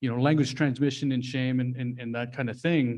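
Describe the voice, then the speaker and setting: A man talks at a fairly quick pace with a medium pitch and flat, monotone intonation. The background is quiet. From Alaska, Fort Yukon. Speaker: language instructor. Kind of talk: workshop presentation.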